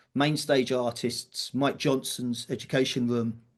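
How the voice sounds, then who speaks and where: A man speaks with a British accent. His pitch sits in the medium range. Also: quiet background. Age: 60s. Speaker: drum teacher and event organiser. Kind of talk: podcast interview. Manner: casual, with fillers and false starts.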